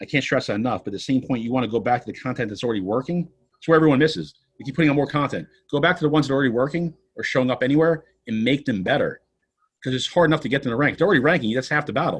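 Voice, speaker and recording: Pitched fairly high, a man rattles along at a very fast pace. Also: ordinary pitch variation. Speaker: personal injury lawyer. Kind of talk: podcast interview.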